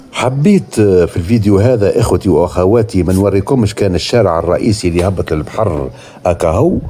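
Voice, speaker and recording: With a Tunisian accent, a man speaks at a moderate pace with a fairly low pitch, ordinary pitch variation, very even loudness and hardly any pauses, over noticeable background noise. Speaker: travel vlogger. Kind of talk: walking tour vlog narration. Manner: casual, spontaneous with hesitations.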